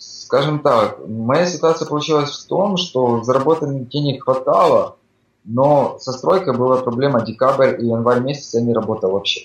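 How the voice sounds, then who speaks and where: This is an unremarkable speaking voice. A man talks at a moderate pace with a fairly high pitch and ordinary pitch variation. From Ukraine. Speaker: migrant construction worker. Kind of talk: casual interview chat. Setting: Skype call.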